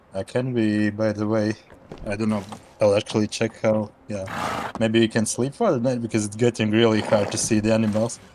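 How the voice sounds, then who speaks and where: Background noise is noticeable behind a man. His intonation is monotone and flat. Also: fairly low pitch for a man, moderate pace. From Latvia. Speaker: gaming co-player. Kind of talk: casual chat.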